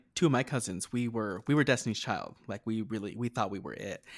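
An unremarkable speaking voice from a man with an American accent, medium pitch and ordinary pitch variation, at a fairly quick pace, on a very clean recording with a silent background. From rural New Mexico near Texas border. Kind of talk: casual chat.

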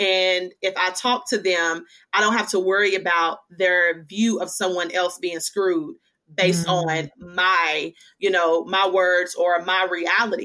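A woman's bright, sharp voice of medium pitch in a Southern US accent, fairly slow and with fairly even intonation. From Western Kentucky. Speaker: author, speaker and preacher. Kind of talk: testimony.

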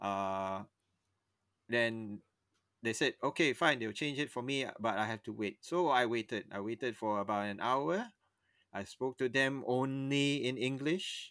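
A man speaks at a fairly slow pace with a medium pitch, ordinary pitch variation and a bright, sharp tone. The recording is very clean, with a silent background and a dry, close sound with no echo. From Singapore. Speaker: podcast co-host. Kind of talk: casual chat.

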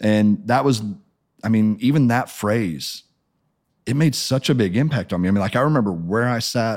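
On a very clean recording with a silent background, a man with an American accent uses an ordinary speaking voice at medium pitch, with ordinary pitch variation, very even loudness and a moderate pace. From Missouri, US Midwest. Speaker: pastor. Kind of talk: testimony.

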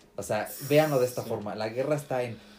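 Somewhat breathy, dark and mellow speech from a man at a moderate pace. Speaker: podcast co-host. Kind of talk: casual chat. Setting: in the same room, not on Skype.

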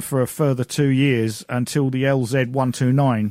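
A man with a British accent speaks at medium pitch with ordinary pitch variation, the sound dry and close with no echo against a very clean, silent background. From Britain. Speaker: amateur history researcher. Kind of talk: casual chat. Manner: halting.

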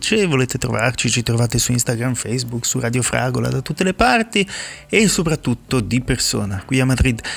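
Medium-pitched male voice with vocal fry, a fairly quick pace and ordinary pitch variation. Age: 40s. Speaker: radio DJ. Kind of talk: radio music show links.

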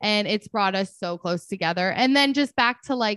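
The speaker goes at a moderate pace. The background is quiet. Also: woman, dry, close sound with no echo. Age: 30s. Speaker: grief podcast host. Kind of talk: casual interview.

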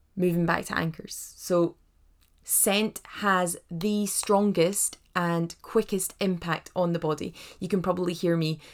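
A woman with a Scottish accent speaks at a fairly slow pace in a fairly low pitch with fairly even intonation. The recording is very clean, with a silent background. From Scotland, Edinburgh. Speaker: doula and hypnobirthing teacher. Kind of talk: podcast monologue, informal tutorial. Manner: warm, chatty.

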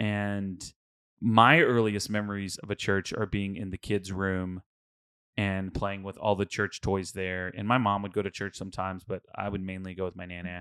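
A man with an American accent speaks at a moderate pace in a bright, sharp tone and a fairly low pitch, his intonation flat and monotone, on a very clean recording with a silent background and a dry, close sound with no echo. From Houston, Texas. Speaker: podcast co-host. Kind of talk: casual chat. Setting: studio.

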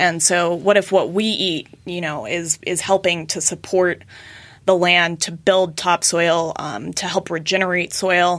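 A woman with an ordinary speaking voice and an American accent, fairly low in pitch, with fairly even intonation at a fairly slow pace. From US West (Colorado). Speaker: butcher shop owner and regenerative agriculture advocate. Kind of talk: casual interview.

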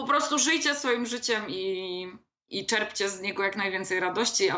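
Speaking at a moderate pace, a woman has an unremarkable speaking voice at a medium pitch. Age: 30s. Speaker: copywriter and blogger. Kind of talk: casual interview.

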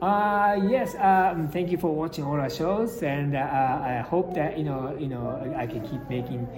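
Over noticeable background noise and audible room echo, a man with a Japanese accent speaks at a moderate pace with lively intonation. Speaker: film director. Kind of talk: interview. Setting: convention. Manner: halting.

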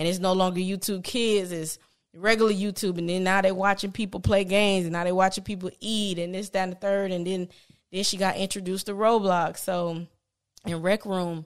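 A woman with an American accent, fairly quick and monotone, her intonation flat. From Palm Beach, Florida. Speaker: business owner and mother. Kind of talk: casual podcast interview.

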